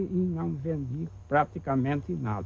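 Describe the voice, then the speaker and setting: At a very slow pace, a man speaks in a somewhat breathy voice with a dark, mellow tone. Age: old. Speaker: coffee farm heir. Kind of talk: interview testimony.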